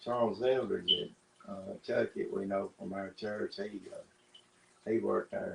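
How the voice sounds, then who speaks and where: In a Southern US accent, a man speaks at a very slow pace. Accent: Southern US rural. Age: 60s. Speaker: interviewee. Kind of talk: sit-down interview. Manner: halting.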